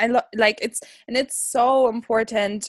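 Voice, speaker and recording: A woman's voice, recorded dry and close with no echo, comes through over a quiet background. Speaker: podcast host. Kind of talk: casual interview. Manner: animated.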